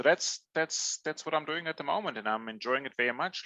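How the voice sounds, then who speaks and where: The man's tone is bright and sharp, with ordinary pitch variation and a dry, close sound with no echo. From Germany. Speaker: customer insights executive. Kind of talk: podcast interview. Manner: hesitant, many fillers.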